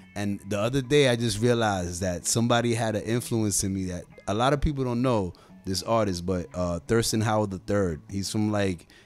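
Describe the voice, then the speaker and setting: Faint music plays behind a man speaking at a moderate pace with ordinary pitch variation, the sound dry with no echo. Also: fairly low pitch for a man. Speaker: guest. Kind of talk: interview answer. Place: studio. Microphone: studio mic.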